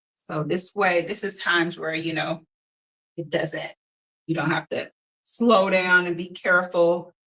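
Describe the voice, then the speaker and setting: The voice is loud and moves at a fairly slow pace. Long pauses come often. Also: woman. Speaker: painting instructor. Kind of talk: tutorial. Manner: casual, filler-heavy. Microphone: no microphone, using device's built-in mic.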